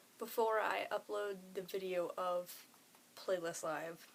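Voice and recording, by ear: This woman talks at a fairly slow pace, her pitch medium and its variation ordinary. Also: long, frequent pauses.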